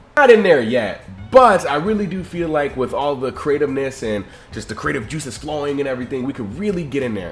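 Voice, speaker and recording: Music plays in the background as a man with an American accent talks at a fairly quick pace. His pitch is fairly high, and his intonation is lively. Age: 20s. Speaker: content creator. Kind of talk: casual application video monologue.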